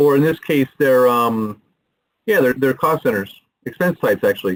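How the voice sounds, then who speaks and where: Lively intonation marks a man's fairly high voice, held at very even loudness. The sound is dry and close with no echo. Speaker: software product presenter. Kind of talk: product demo. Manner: fast; animated.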